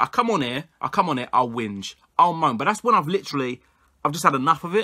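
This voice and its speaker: A man with a London accent, bright and sharp in tone, at a fairly quick pace with very wide pitch swings over a quiet background. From England (London area). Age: 20s. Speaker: football YouTuber. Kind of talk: solo opinion vlog. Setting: home recording to camera. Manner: animated. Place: home room. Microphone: webcam.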